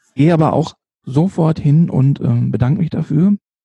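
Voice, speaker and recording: Somewhat breathy and dark, mellow in tone, a man speaks at a moderate pace with ordinary pitch variation in a dry, close sound with no echo. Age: 50s. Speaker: street photographer and nurse. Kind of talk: casual interview. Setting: late-evening podcast recording. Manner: hesitant, many fillers.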